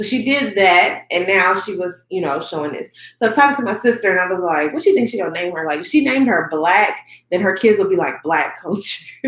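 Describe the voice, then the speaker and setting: A woman speaks in an animated tone at a very fast pace, her pitch swinging very widely. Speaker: YouTuber reviewing award shows. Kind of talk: casual review vlog.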